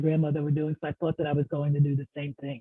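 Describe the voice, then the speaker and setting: A woman speaks with an American accent. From US Northeast (New York, New Jersey area). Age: 70s. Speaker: nonprofit executive. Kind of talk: interview.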